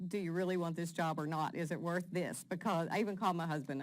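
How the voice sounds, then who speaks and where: A woman with an American accent, fairly low pitch, fairly even intonation and a fairly quick pace. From southern West Virginia, Fayette County. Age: 50s. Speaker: nonprofit president. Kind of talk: interview.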